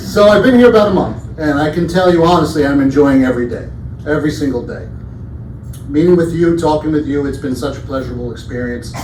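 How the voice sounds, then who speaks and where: Amid audible room echo and noticeable background noise, a man talks very fast at a fairly high pitch with lively intonation. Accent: New York. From Brooklyn, New York. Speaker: campus safety director. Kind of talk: town hall presentation.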